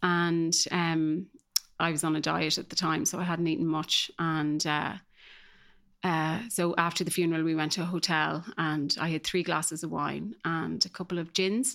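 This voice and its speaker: In an Irish accent, a woman speaks at a moderate pace and fairly low pitch with fairly even intonation, on a very clean recording with a silent background. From Ireland, small rural village. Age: 40s. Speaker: guest sharing recovery story. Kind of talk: personal testimony. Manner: hesitant, many fillers.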